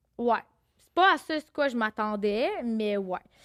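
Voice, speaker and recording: Dry and close with no echo, a woman speaks fairly slowly at a fairly high pitch with lively intonation. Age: 30s. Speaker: podcast guest. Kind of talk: casual chat. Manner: animated.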